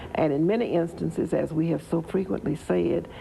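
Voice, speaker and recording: A woman talks at a moderate pace with a Southern US accent. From Tennessee, Wilson County. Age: 70s. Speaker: local political figure. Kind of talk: interview.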